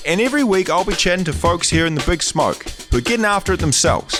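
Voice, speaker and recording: Over music in the background, a man with a New Zealand accent speaks at a fairly quick pace and a high pitch. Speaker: comedian, podcast host. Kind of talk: podcast intro.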